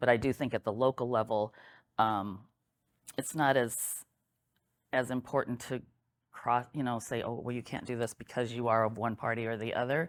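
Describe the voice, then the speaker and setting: The speaker has a Midwestern US accent. Long pauses come often. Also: moderate pace. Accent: US Midwest. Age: 60s. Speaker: local election candidate. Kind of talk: candidate interview.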